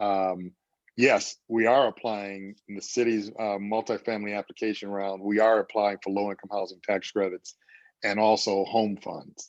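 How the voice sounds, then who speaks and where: Against a quiet background, a man with a fairly low pitch speaks at a moderate pace in a monotone, flat way, the sound dry and close with no echo. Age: 60s. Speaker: housing developer. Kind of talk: community meeting Q&A.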